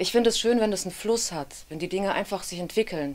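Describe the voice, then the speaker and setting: This woman talks at a fairly quick pace. Her pitch varies in an ordinary way. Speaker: actress, audiobook narrator and dubbing voice actor. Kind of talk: interview answer. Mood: relaxed, smiling. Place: studio.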